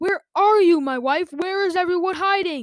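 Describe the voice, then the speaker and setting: A put-on character voice from a woman, squeaky and extremely high, at a moderate pace, with dry, close sound and no echo. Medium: read story. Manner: absent, dreamy.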